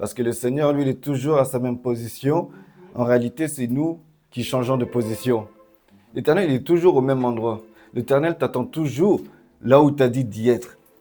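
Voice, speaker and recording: A man's medium-pitched voice at a moderate pace, with ordinary pitch variation and long, frequent pauses, music in the background. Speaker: preacher. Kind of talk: sermon. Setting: church service with congregation.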